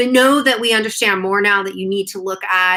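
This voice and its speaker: Her voice sits at a medium pitch. The woman speaks at a fairly quick pace. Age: 30s. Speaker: naturopathic doctor and author. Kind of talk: live stream Q&A. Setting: live stream from a conference trip. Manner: fast; casual, chatty.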